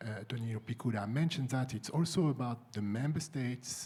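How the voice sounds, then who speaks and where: A man speaks fairly quickly in a French accent and sounds somewhat breathy. His pitch varies in an ordinary way. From France. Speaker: EU civil servant, panelist. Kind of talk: conference panel discussion. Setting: conference room with audience. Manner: halting, many fillers and repeats.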